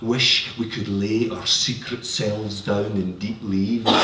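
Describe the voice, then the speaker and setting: Against noticeable background noise, a man with a fairly low pitch talks at a fairly slow pace in a monotone, flat intonation. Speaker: poet. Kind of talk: poetry reading.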